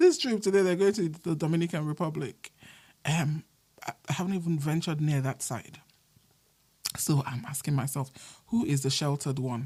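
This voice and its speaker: A woman with a very deep, low pitch and a dark, mellow tone sounds somewhat breathy, moving at a moderate pace with ordinary pitch variation and long, frequent pauses. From Nigeria. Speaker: podcaster. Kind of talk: casual podcast monologue.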